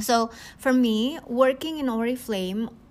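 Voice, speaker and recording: This woman's voice sits at a high pitch. She talks at a very slow pace. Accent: Indonesian. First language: Indonesian. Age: 40s. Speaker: network marketing leader. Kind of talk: podcast monologue, coaching talk. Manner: hesitant, many fillers.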